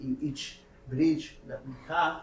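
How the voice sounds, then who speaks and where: A man talks at a very slow pace in a fairly high pitch, with a non-native accent. His intonation is monotone and flat, and audible room echo surrounds the voice. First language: not English. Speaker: scientist presenting research. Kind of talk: technical workshop lecture. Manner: halting, many hesitations and repeats.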